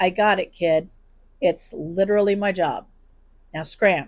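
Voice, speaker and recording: A put-on character voice, raspy and middle-pitched, moves at a moderate pace in a bored tone. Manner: bored, flat, dismissive.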